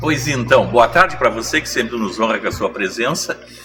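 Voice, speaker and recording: Lively intonation carries the voice, with music playing in the background. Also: man. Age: 60s. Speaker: TV panelist. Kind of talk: casual interview chat. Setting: at a fair.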